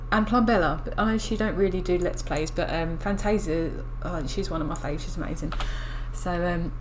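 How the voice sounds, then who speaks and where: A woman with an English accent mumbles at a fairly quick pace, her fairly high pitch showing ordinary variation. Audible room echo and noticeable background noise are present. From England. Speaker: gaming youtuber. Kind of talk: gameplay commentary. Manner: mumbling; hesitant.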